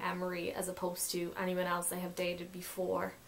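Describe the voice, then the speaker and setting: A woman at a fairly quick pace against noticeable background noise. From Hungary. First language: Hungarian. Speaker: YouTuber. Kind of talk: casual chat.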